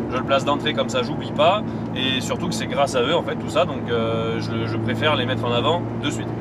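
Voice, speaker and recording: This man's voice carries audible room echo over noticeable background noise. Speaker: car vlogger. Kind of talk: driving vlog commentary. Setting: in a car. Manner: loud.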